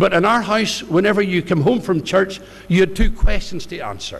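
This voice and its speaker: A man speaks in a high pitch with a Northern Irish accent. Noticeable background noise runs behind him. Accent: Northern Irish (Ballymena). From Northern Ireland, County Antrim (near Ballymena). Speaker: pastor. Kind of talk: testimony.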